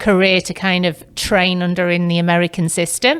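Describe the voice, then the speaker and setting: A woman with an English accent speaks at a medium pitch and a moderate pace. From northern England, Manchester. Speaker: real estate agent. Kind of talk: podcast interview.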